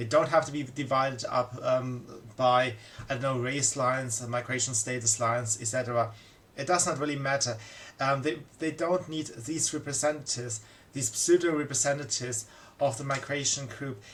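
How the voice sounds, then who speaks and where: The speaker has a non-native accent and keeps a moderate pace. The intonation stays fairly even. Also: man, medium pitch for a man. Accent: foreign accent, migrant to Germany. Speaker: political commentator. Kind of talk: monologue commentary. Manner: halting, many fillers.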